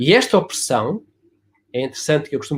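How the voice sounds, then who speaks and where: In a very clean recording with a silent background, a man with vocal fry speaks at a fairly quick pace in a fairly high pitch. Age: 70s. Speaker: family constellation therapist. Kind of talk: casual chat. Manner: animated; hesitant with fillers.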